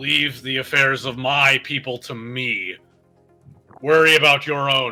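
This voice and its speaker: A man in a put-on character voice projects loudly at a medium pitch and a fairly slow pace, with faint music in the background. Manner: commanding.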